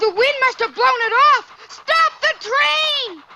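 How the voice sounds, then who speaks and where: A cartoonish character voice speaks at a fairly slow pace in an extremely high pitch. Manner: bright, eager, earnest.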